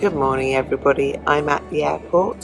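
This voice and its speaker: A woman's voice with clear music in the background. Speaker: travel vlogger. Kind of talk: casual vlog chat. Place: station. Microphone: phone near.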